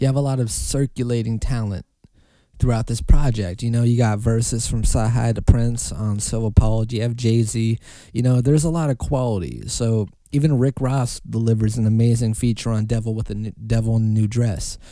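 Here a man talks at a fairly quick pace. His tone is dark and mellow, his pitch medium. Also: fairly even intonation. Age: 20s. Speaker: podcast host. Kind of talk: casual solo commentary. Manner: conversational with many fillers.

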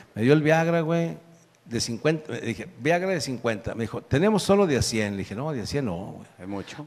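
Very wide pitch swings run through talking that keeps a moderate pace. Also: man. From northern Mexico. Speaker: comedian. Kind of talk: comedic storytelling.

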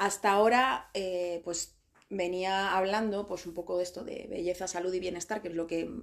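A woman speaks at a moderate pace. Her pitch is medium and her intonation fairly even. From Spain. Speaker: beauty coach and podcast host. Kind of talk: interview.

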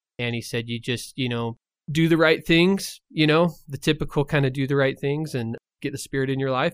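In a plain, everyday voice, a man talks at a fairly quick pace with ordinary pitch variation, the sound dry and close with no echo. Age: 30s. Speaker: recovering addict, non-profit founder. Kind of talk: testimony.

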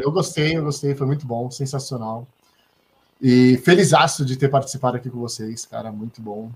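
Somewhat breathy and medium in pitch, a man speaks at a fairly quick pace with ordinary pitch variation and big swings in loudness. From São Paulo coast, Brazil (Santos). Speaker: talk show host. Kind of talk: casual chat. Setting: live stream video call.

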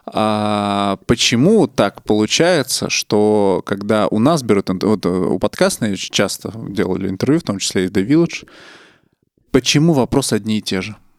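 With a fairly low pitch and lively intonation, a man speaks at a fairly slow pace in a normal speaking voice. The sound is dry and close with no echo. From Russia, Nizhny Novgorod. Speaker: podcast host. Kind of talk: casual chat.

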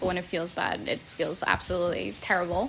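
Against noticeable background noise, a woman with an American accent speaks at a moderate pace. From New Jersey. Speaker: podcast host. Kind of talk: casual chat.

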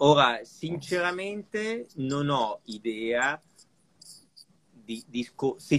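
The man's voice sits fairly high in pitch. His intonation is lively. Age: 50s. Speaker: watch collector. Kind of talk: casual live chat.

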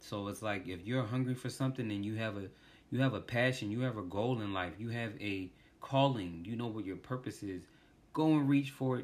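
Here is an ordinary speaking voice with an American accent. It moves at a fairly quick pace with ordinary pitch variation. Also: man, medium pitch for a man. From US, Washington DC. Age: 30s. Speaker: podcast host. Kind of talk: casual monologue.

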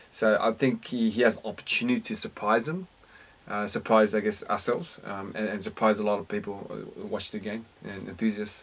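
A man with an Australian accent speaks at a fairly quick pace and a fairly low pitch, with ordinary pitch variation. His loudness swings widely. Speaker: basketball podcast co-host. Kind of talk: casual sports chat. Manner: halting, repetitive.

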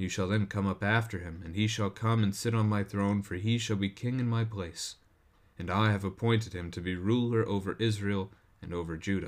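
A man speaks in an unremarkable speaking voice, fairly low in pitch with fairly even intonation, on a very clean recording with a silent background. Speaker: pastor and devotional host. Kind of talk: scripture reading, then devotional commentary. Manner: measured, steady, formal reading cadence; shifts to conversational, informal tone in commentary.

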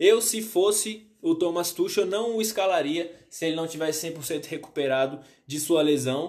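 In a Brazilian accent, a man talks at a high pitch with ordinary pitch variation. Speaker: sports youtuber. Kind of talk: football analysis monologue. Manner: halting, many fillers.

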